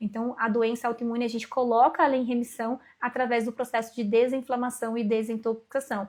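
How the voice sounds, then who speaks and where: A woman speaks with a high pitch at a fairly quick pace. Her intonation is monotone and flat. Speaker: aesthetic nurse and course instructor. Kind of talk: live webinar Q&A. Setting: online livestream. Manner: fast.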